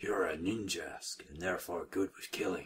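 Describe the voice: Putting on a character voice, a man speaks at a moderate pace in a very deep, low pitch that is gravelly and raspy.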